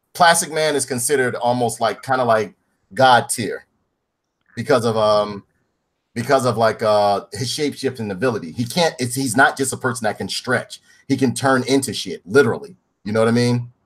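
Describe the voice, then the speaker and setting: The delivery is animated and fairly quick, with ordinary pitch variation. The recording is very clean, with a silent background. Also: man, medium pitch for a man. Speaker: podcast host. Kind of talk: reading aloud; casual chat. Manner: halting.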